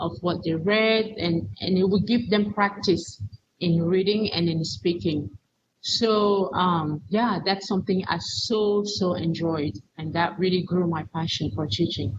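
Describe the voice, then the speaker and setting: A woman with a non-native accent speaks at a fairly slow pace, her voice showing vocal fry. Her pitch is medium, with ordinary variation. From Cameroon. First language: not English. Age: 40s. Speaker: teacher educator and missionary. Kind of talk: interview testimony. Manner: halting, repeats words.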